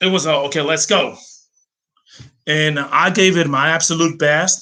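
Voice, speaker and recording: A man with a US East Coast accent speaks at a moderate pace in a bright, sharp tone, his intonation fairly even. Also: fairly high pitch for a man, very even loudness. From Greece, Athens. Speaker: language teacher and translator. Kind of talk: personal story monologue. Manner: hesitant, many fillers.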